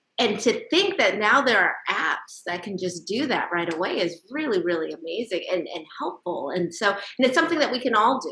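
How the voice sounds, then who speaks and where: Over noticeable background noise, a woman talks with hardly any pauses, her fairly high pitch making very wide swings. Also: moderate pace. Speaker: TV show host. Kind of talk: TV interview hosting.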